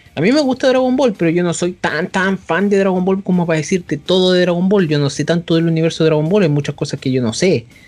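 The speaker has a Chilean accent and talks at a fairly quick pace with ordinary pitch variation. The loudness stays very even throughout. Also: man. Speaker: podcast host. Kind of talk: casual chat.

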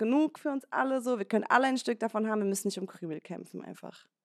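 A woman speaks in a plain, everyday voice, fairly high in pitch with ordinary pitch variation. The background is quiet and the sound is dry and close, with no echo. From Berlin (Moabit). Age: 20s. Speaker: DJ. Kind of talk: live panel discussion. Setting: stage with audience.

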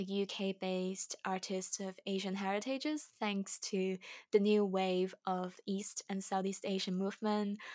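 This woman speaks at a very slow pace in a medium pitch. Her intonation is monotone and flat. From Hong Kong. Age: young. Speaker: singer-songwriter and filmmaker. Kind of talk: casual chat.

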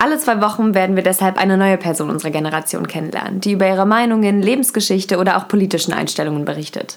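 Against noticeable background noise, a woman talks at a very fast pace with hardly any pauses. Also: medium pitch for a woman, ordinary pitch variation. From Germany, Berlin. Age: 20s. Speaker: podcast host, university student. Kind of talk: scripted podcast intro.

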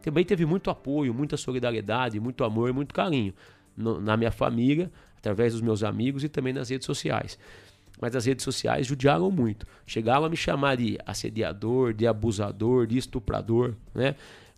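A man speaks at a medium pitch and a moderate pace. His pitch varies in an ordinary way, with music in the background. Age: 40s. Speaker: state politician. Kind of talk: radio interview. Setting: studio.

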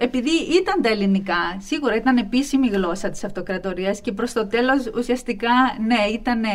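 The speaker uses lively intonation at a moderate pace with hardly any pauses, against noticeable background noise. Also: woman. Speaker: associate professor of Byzantine studies. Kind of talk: interview. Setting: studio.

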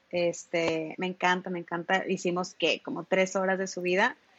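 A woman talks in an ordinary speaking voice at a medium pitch. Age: 20s. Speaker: traveler and creative. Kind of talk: casual interview chat.

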